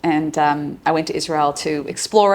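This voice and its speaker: With an Australian accent, a woman speaks at a fairly low pitch, her pitch varying in an ordinary way. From Australia, Sydney. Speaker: psychologist and relationship coach. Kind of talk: casual interview.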